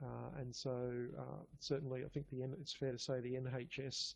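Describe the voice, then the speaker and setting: A somewhat breathy man with a strong Australian accent speaks in monotone, flat intonation. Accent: broad Australian. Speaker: pathology lab biochemistry manager. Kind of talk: conference talk. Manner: halting, many fillers and repeats.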